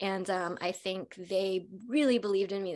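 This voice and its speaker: A woman with an American accent uses a plain, everyday voice at a medium pitch, moderate pace and ordinary pitch variation, on a very clean recording with a silent background. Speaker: actress. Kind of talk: panel discussion.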